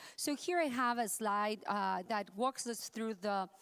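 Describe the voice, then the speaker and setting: A woman's fairly high, lively voice at a fairly slow pace, dry and close with no echo, on a very clean recording with a silent background. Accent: strong Spanish. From Mexico. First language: Spanish. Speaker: accessibility consultant. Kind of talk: conference talk.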